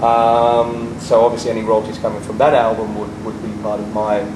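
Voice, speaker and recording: A man's medium-pitched, flat monotone at a moderate pace, with audible room echo and noticeable background noise. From England. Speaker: rock musician. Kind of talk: interview. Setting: on location in a jacuzzi.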